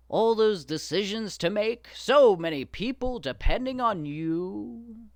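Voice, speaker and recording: In a put-on character voice, a man speaks very slowly at a high pitch, on a very clean recording with a silent background. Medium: read story. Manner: persuasive, flattering.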